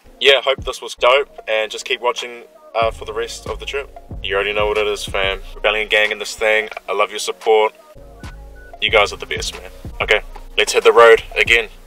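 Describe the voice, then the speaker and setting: Faint music plays in the background as a man speaks at a fairly quick pace, his loudness swinging widely in a dry sound with no echo. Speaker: vlogger. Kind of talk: casual vlog chat. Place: car. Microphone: phone near.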